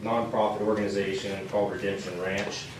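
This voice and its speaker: Over noticeable background noise and audible room echo, a man sounds shaky and nervous in a fairly low pitch. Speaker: police officer. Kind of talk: public presentation at council meeting. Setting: town council meeting. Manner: nervous, shaky delivery; halting, many fillers.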